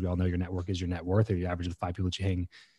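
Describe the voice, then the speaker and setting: Very deep and low, a man's somewhat breathy voice carries a dark, mellow tone in a dry recording with no echo. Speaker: podcast host as interview guest. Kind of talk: interview answer. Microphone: studio mic.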